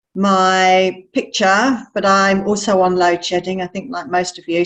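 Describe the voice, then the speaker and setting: In a British accent, a woman speaks at a medium pitch and a fairly slow pace with monotone, flat intonation. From England. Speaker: wildlife researcher. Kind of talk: presentation.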